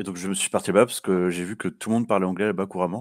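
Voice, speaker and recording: In a very clean recording with a silent background, a man with a very deep, low pitch speaks very fast in a fairly even intonation. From southern France. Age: 20s. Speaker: interview guest, former expat. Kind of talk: interview. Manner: hesitant.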